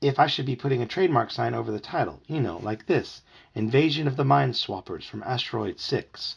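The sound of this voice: The voice heard is an unforced reading voice.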